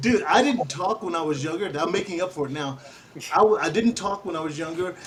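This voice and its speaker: A man talks at a fairly quick pace with a high pitch and ordinary pitch variation. Noticeable background noise is present. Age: 60s. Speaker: radio host. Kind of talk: casual chat. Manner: animated.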